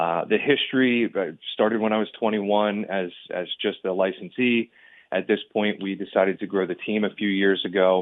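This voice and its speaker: A man with an American accent has an unremarkable speaking voice pitched fairly low. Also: fairly even intonation, moderate pace. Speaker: real estate agent. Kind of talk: radio interview.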